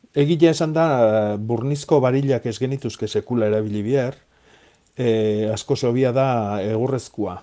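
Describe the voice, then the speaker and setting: With a dark, mellow tone, a man talks at medium pitch and ordinary pitch variation. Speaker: gardening expert. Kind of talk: radio phone-in advice. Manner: halting.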